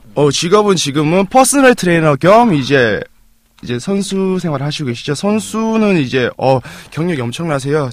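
Here a man talks with lively intonation. His pitch is fairly high, and his pace is moderate. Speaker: personal trainer, co-host. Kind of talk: casual chat.

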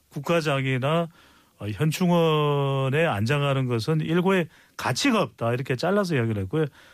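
Over a very clean recording with a silent background, a man with a plain, everyday voice speaks at a moderate pace in a fairly high pitch with lively intonation. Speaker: political commentator. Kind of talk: political commentary. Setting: studio.

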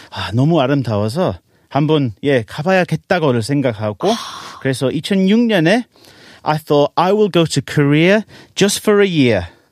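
A man with an English accent speaks at a fairly high pitch and a moderate pace, with very wide pitch swings. The sound is dry and close, with no echo. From England. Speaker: English teacher and trot singer. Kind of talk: casual interview.

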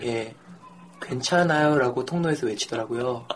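There is noticeable background noise as a man speaks at a fairly high pitch with ordinary pitch variation. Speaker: guest telling his own stories. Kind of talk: casual chat.

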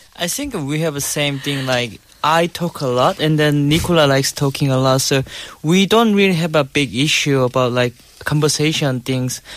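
A man's fairly high voice in a Korean accent, at a moderate pace with ordinary pitch variation. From South Korea. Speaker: guest, husband in intercultural marriage. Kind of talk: casual studio chat. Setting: studio.

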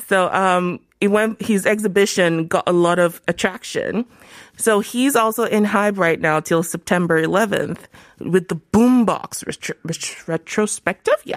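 A woman with a plain, everyday voice speaks at a fairly slow pace and medium pitch, with ordinary pitch variation. The sound is dry and close with no echo. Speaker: travel writer and YouTuber. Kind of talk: casual chat. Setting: studio.

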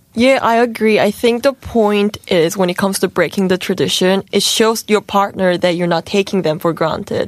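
A woman of medium pitch at a moderate pace, with ordinary pitch variation, very even loudness and hardly any pauses, over noticeable background noise. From New Zealand. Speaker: relationship talk guest. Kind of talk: casual chat. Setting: radio studio.

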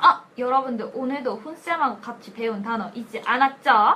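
A woman projects a raised voice at a high pitch and very slow pace over noticeable background noise. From Korea, Cheongju. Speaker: English learning podcast host. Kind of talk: scripted language lesson skit.

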